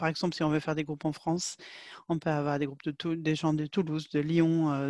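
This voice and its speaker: On a very clean recording with a silent background and a dry, close sound with no echo, a woman speaks in a monotone, flat voice with a very deep, low pitch and a dark, mellow tone. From Sweden. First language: Swedish (speaking French). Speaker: market researcher. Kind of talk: interview. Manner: halting.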